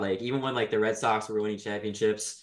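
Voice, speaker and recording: A man with a fairly low pitch rushes along at a very fast pace. His intonation is monotone and flat. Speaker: podcast host. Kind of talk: interview. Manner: halting.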